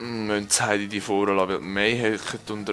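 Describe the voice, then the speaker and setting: The speaker talks with a Swiss German accent. Noticeable background noise runs underneath. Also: man. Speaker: let's play gamer. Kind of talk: casual gameplay commentary. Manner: excitable, energetic.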